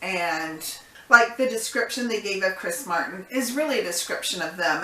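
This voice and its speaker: A woman speaking in an American accent is heard through clear background noise. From United States. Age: old. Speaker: YouTube reaction host. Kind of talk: casual reaction commentary to camera.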